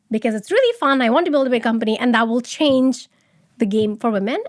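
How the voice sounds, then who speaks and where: A woman talks loudly in a high pitch with ordinary pitch variation. The recording is very clean, with a silent background. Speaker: start-up founder. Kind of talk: interview.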